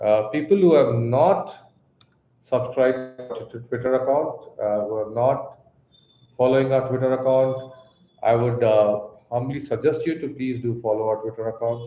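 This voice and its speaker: A man with a Tamil Indian accent speaks at a medium pitch and moderate pace, with fairly even intonation. He leaves long, frequent pauses, and audible room echo surrounds him. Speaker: crypto exchange co-founder. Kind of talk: live Q&A stream. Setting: live stream. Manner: hesitant, many fillers and repeats.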